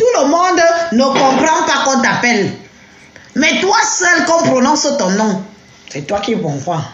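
A woman's high voice with very wide pitch swings, very slow pace and long, frequent pauses, audible room echo and noticeable background noise. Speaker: social media personality giving testimony. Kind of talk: live stream testimony.

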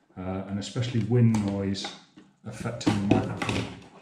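With music playing in the background, a man speaks at a fairly low pitch. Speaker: presenter. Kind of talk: tutorial. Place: home room.

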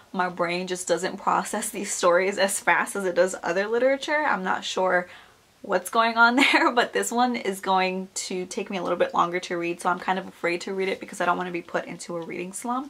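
A woman speaks in a raspy, put-on character voice at a medium pitch with ordinary pitch variation. She keeps a fairly quick pace with hardly any pauses. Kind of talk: casual vlog chat. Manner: talking very fast.

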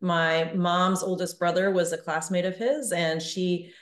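A woman speaks at a moderate pace in a fairly low, monotone voice with flat intonation, with audible room echo against a quiet background. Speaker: guest. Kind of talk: interview answer. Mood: calm and reflective. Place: home room. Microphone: video call.

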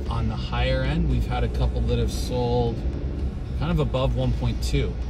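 A man's voice, dry with no echo, over clear background music. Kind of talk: casual tour commentary. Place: car. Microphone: phone near.

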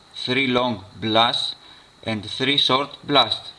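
This speaker has a Greek accent. The pace is very slow. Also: man. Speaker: survival and outdoor gear YouTuber. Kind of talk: tutorial.

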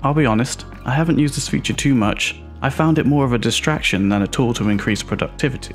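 Music plays behind a man talking very fast at a medium pitch with lively intonation. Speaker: video producer. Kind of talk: casual tech review to camera.

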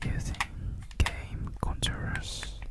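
A whisper at a very slow pace, over noticeable background noise. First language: non-native English speaker. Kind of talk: ASMR video. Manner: whispered.

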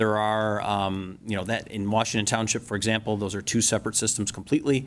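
Very fast speech from a man pitched fairly low. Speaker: engineer. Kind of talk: presentation at public meeting. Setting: township board meeting room. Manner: hesitant, many fillers.

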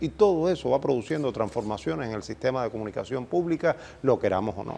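Speaking at a fairly quick pace, a man uses lively intonation and a dark, mellow tone. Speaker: journalism professor and dean. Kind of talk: interview.

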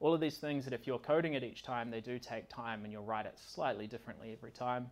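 The speech moves at a fast pace with fairly even intonation. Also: man, medium pitch for a man.

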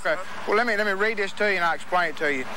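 A dry sound with no echo and noticeable background noise. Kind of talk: official explanation to motorist. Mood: calm, polite, procedural. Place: street.

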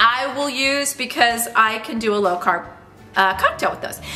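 A woman with a high voice speaks at a moderate pace. Her intonation is lively, with light background noise. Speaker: lifestyle vlogger. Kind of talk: casual cooking tutorial chat. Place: kitchen.

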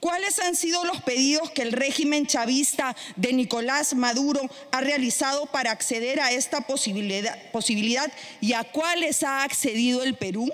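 This woman's voice sits at a high pitch with ordinary pitch variation. Her loudness stays very even. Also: moderate pace. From Peru. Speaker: congresswoman. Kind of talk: parliamentary speech. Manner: formal. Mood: combative, indignant. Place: hall. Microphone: podium.

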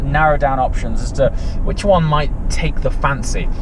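Recorded dry with no echo, a man talks over noticeable background noise. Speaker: car reviewer. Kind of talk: casual vlog chat. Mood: relaxed, amused.

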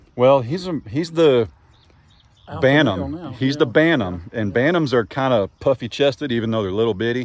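Lively in intonation, a man talks at a fairly quick pace in a dry sound with no echo. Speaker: farmer vlogger. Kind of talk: casual vlog chat. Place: open country. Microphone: phone near.

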